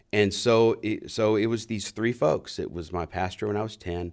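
In an American accent, a man speaks with an unremarkable speaking voice at a moderate pace, his pitch fairly low with ordinary variation. The recording is very clean, with a silent background. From US South, New Orleans. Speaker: seminary professor. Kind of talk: interview.

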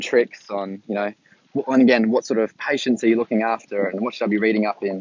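Fairly quick and monotone, a man with an Australian accent speaks at medium pitch with flat intonation. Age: 20s. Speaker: new graduate ICU nurse. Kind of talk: solo podcast monologue. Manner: halting, many fillers.

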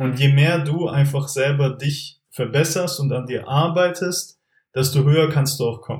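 At a fairly slow pace, a man speaks with fairly even intonation and a somewhat breathy quality. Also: fairly high pitch for a man. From Germany, Stuttgart area (Swabia). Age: 20s. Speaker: entrepreneur, former business consultant. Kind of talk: casual interview.

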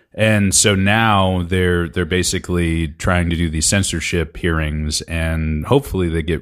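His intonation stays fairly even. This man's pitch is very deep and low. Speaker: podcast host. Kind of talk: casual chat.

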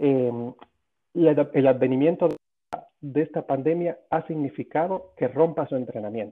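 A man uses a normal speaking voice, fairly high in pitch with ordinary pitch variation. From Cuba. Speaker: sports medicine doctor. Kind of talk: interview.

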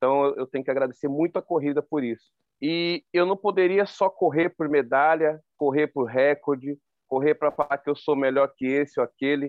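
In an ordinary speaking voice, a man talks at a moderate pace and fairly high pitch with fairly even intonation. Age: 40s. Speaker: ultramarathon runner. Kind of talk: interview.

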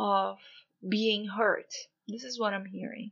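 A woman is speaking. She has a Portuguese accent. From Brazil. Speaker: spiritual coach and podcaster. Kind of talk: spiritual talk.

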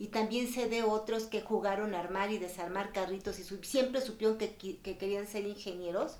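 Noticeable background noise sits behind a woman speaking at a moderate pace, her medium-pitched voice holding fairly even intonation. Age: 60s. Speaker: family court judge. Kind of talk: interview.

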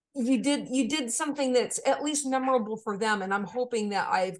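Speaking with an American accent, a woman uses a normal speaking voice at a moderate pace with ordinary pitch variation. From Maine, US. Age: 40s. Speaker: composer and music educator. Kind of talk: interview conversation.

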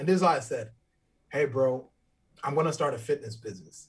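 A man's somewhat breathy, fairly high-pitched voice at a very fast pace. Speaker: fitness trainer. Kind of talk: casual chat. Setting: video call.

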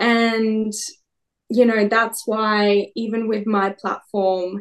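Against a quiet background, a woman with an Australian accent speaks in a fairly high pitch with monotone, flat intonation. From Perth, Western Australia. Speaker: beauty queen and media personality. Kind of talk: casual interview chat.

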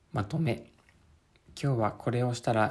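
A man's somewhat breathy voice, dark and mellow in tone, at medium pitch and a moderate pace. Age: 30s. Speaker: podcaster. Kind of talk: reading aloud. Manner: halting.

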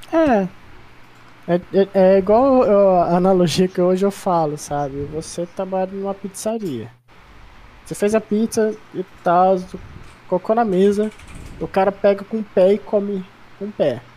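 With long, frequent pauses, a woman speaks at a fairly slow pace. Her medium pitch shows ordinary variation. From São Paulo state interior, Ribeirão Preto. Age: 20s. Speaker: esports analyst. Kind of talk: casual interview chat.

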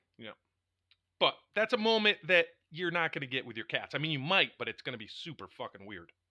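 A man with a fairly high pitch and a bright, sharp tone speaks at a fairly quick pace, using very wide pitch swings and some vocal fry. The sound is dry and close with no echo, against a quiet background. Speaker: podcast co-host. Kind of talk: casual banter. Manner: joking, profane.

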